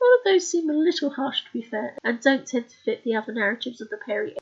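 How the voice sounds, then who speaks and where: A soft-spoken woman at a very fast pace. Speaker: author. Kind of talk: scripted narration of own research. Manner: quiet, soft-spoken.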